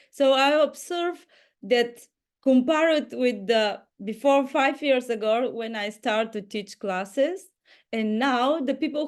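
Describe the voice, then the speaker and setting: A woman with a non-native accent speaks at a very slow pace. Her high pitch shows ordinary variation over a quiet background. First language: not English. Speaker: inner dance teacher. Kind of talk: group video call sharing. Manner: halting.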